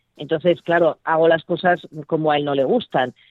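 A plain, everyday voice from a woman, fairly low in pitch, with fairly even intonation. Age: 50s. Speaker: entrepreneur and mother of twelve. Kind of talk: interview.

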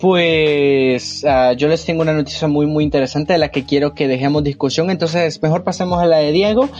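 Over noticeable background noise, a man speaks at a fairly quick pace. His pitch is fairly high and his intonation fairly even. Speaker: podcast co-host. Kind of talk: casual chat.

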